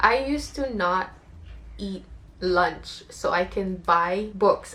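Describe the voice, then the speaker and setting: A woman's voice over noticeable background noise. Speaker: booktuber and author. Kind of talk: casual talk to camera.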